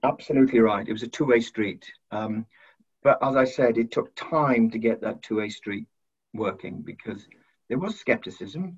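A man with a Welsh accent speaks at a moderate pace and medium pitch, with ordinary pitch variation. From South Wales. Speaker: university head. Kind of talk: interview.

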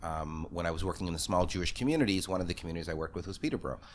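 Speaking very fast, a man with a Canadian accent uses a very deep, low pitch. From Toronto, Canada. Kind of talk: casual interview chat. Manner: fast talker, animated.

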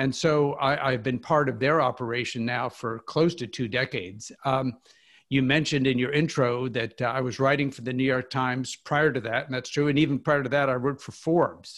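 Using an unremarkable speaking voice, a man with an American accent talks at a fairly quick pace with medium pitch and fairly even intonation, on a very clean recording with a silent background. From US Midwest, Kansas. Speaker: financial columnist. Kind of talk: interview.

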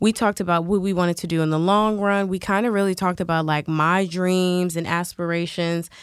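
A woman talks at a fairly quick pace in a flat monotone. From Washington DC. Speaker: bartender and fitness instructor. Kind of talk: casual interview.

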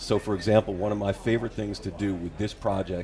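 A man with an American accent speaks very fast in a dark, mellow tone that is somewhat breathy, with monotone, flat intonation. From New York. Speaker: author. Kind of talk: interview on talk show.

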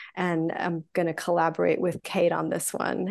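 A woman's fairly low voice with vocal fry, over a quiet background. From Greek heritage. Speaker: spiritual teacher and retreat leader. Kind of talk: casual chat.

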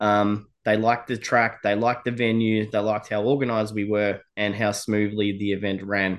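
Speaking at a moderate pace with hardly any pauses, a man with an Australian accent keeps a monotone, flat intonation. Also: fairly low pitch for a man. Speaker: motorsport event promoter. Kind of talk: podcast interview. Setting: remote from a cabin. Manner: casual, hesitant with many fillers.

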